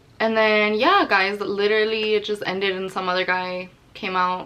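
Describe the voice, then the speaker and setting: A woman at a medium pitch with an animated tone and ordinary pitch variation, amid noticeable background noise. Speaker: YouTuber telling a story. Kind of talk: story time vlog. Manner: fast.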